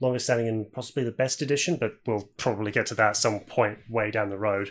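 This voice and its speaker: A man with a British accent talks at a very fast pace and medium pitch, hardly pausing at all. The recording is very clean, with a silent background. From UK. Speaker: podcast host. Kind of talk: casual chat.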